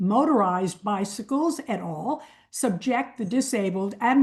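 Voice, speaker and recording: A woman with a medium pitch and a somewhat breathy voice talks at a fairly slow pace with lively intonation. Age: 80s+. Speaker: member of the public giving comment. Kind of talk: public comment. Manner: formal.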